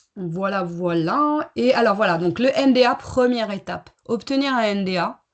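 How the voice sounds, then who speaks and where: Lively intonation and a fairly high pitch mark this woman's plain, everyday voice. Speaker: certification consultant and coach. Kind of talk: webinar presentation.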